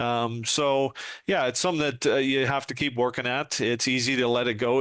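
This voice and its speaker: In a normal speaking voice, a man talks at a moderate pace with fairly even intonation and very even loudness. The background is quiet. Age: 60s. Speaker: retired police sergeant and trainer. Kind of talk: podcast interview.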